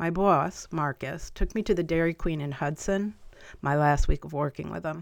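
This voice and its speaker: In a normal speaking voice with an American accent, a woman talks at a moderate pace, her pitch fairly low with ordinary variation, on a very clean recording with a silent background. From upstate New York (Albany, Columbia County). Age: 50s. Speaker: podcast host. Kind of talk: personal monologue.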